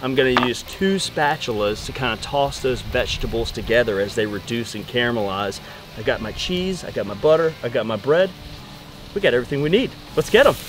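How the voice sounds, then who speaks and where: Speaking at a fairly quick pace with lively intonation, a man is heard in a dry recording without echo, though background noise is noticeable. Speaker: cooking show host. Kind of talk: cooking tutorial. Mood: upbeat, joking. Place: garden.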